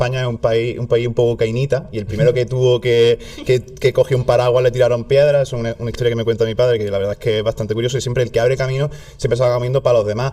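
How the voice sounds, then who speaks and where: A man talks at a very fast pace in a southern Spanish accent. Noticeable background noise is present. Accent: southern Spanish, stronger when relaxed. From southern Spain. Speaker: content creator. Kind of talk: casual chat.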